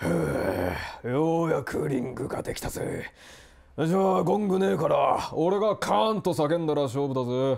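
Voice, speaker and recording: A man in a put-on character voice, fairly high in pitch, at a moderate pace. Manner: rough, shouting.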